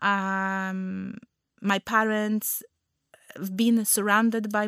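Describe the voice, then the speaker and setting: The speaker has a Polish accent and a monotone, flat delivery. The recording is very clean, with a silent background and a dry, close sound with no echo. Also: woman. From Poland. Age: 30s. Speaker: nutritional therapist and wellness podcast host. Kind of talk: personal storytelling monologue. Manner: halting, many fillers.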